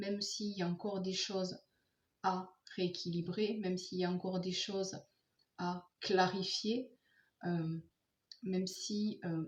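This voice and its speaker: Soft-spoken and somewhat breathy, a woman speaks at a very slow pace and medium pitch, with fairly even intonation and long, frequent pauses. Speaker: tarot card reader. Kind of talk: tarot reading for viewers.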